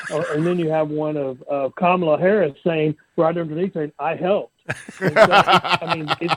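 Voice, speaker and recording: At a moderate pace, a man with an unremarkable speaking voice and fairly high pitch keeps a fairly even intonation, captured dry and close with no echo. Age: 60s. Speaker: bail bondsman. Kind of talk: podcast interview.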